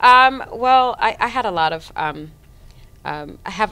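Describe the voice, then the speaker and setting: The voice has an American accent and very wide pitch swings at a moderate pace. The recording is very clean, with a silent background. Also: woman. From Miami Beach, Florida, Haitian family. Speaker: stage actress. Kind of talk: interview. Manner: halting, many fillers.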